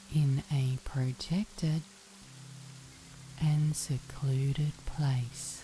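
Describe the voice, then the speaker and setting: A woman speaks in a very deep, low voice with a calm, soothing tone and fairly even intonation. Her pace is very slow, with long, frequent pauses, and music plays in the background. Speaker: meditation guide. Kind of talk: sleep story.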